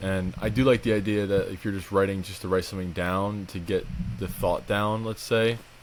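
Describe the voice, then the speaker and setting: A man with a very deep, low pitch speaks at a fairly quick pace and with fairly even intonation. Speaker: podcast co-host. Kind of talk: casual chat. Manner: fast when passionate.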